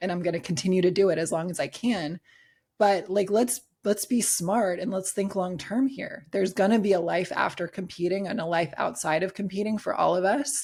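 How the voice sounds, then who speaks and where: The speech moves at a fairly quick pace in an animated tone, somewhat breathy with ordinary pitch variation. The recording is very clean, with a silent background. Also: woman, medium pitch for a woman. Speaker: bikini bodybuilding pro and coach. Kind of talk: podcast interview.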